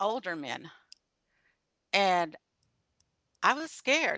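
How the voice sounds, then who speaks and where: The woman's bright, sharp voice sits at a medium pitch, with a dry, close sound, no echo and a quiet background. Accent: American. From Texas. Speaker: business speaker. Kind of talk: interview. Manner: halting.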